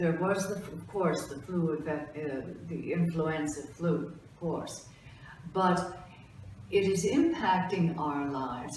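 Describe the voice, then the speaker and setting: In a room with audible echo and noticeable background noise, a woman with a fairly low pitch talks at a fairly slow pace, her pitch varying in an ordinary way. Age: 60s. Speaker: gallery director and photographer. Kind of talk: documentary interview. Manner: halting, with many fillers.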